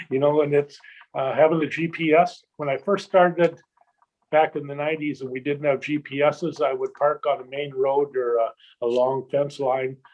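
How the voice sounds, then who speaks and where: A man with a normal speaking voice talks at a moderate pace, fairly high in pitch, with fairly even intonation. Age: 60s. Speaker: shed hunting guide and video producer. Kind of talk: casual chat.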